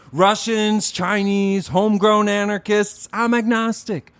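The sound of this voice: A man puts on a character voice that is high-pitched, clear, smooth and fairly bright, with little pitch movement, vocal fry and a fairly slow pace.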